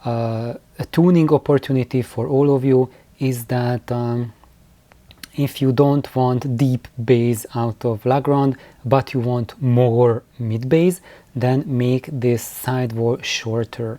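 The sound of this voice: Slow and fairly even, a man speaks at a medium pitch in a dark, mellow tone.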